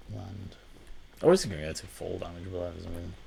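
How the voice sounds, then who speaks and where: Soft-spoken, a man with a dark, mellow tone and vocal fry talks at a moderate pace. His pitch varies in an ordinary way, and room echo is audible. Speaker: gaming YouTuber. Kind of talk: let's play commentary. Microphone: quiet recording level.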